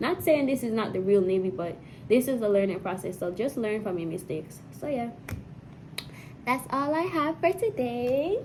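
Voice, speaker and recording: Pausing often and at length, a woman speaks at a moderate pace in a fairly high pitch that swings very widely. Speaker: Navy sailor vlogger. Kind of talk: casual advice vlog. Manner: repetitive, halting.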